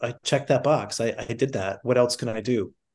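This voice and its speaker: A man's ordinary speaking voice, medium in pitch, with an American accent, against a quiet background. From US Midwest, North Dakota. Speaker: singer-songwriter and therapist. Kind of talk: interview.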